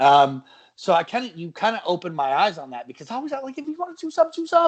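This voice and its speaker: A man talks at a fairly quick pace. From Oklahoma. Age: 30s. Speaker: podcast host. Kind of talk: casual chat.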